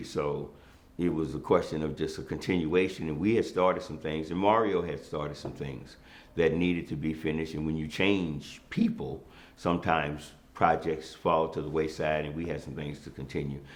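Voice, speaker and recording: Heard with audible room echo, a man speaks at a moderate pace. His very deep, low voice keeps fairly even intonation. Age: 60s. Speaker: former city councilman. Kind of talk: interview. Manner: hesitant with many fillers.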